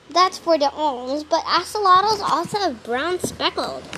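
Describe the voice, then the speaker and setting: A woman's pitch climbs and drops very widely as background noise is clearly heard. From Australia. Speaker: wildlife podcast host. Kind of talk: casual nature-show narration. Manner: animated.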